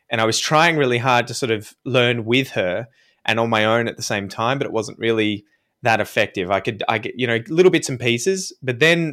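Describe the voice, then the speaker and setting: At a fairly quick pace, a man speaks at a medium pitch with a bright, sharp tone. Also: very clean recording, silent background. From Australia. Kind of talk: casual interview chat. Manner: animated, chatty.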